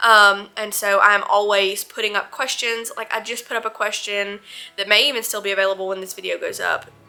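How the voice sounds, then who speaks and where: Over music in the background, a woman with a strong Southern US accent speaks at a medium pitch and a fairly quick pace, in a monotone, flat way. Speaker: vlogger. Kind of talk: Q&A vlog. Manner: casual, with many fillers.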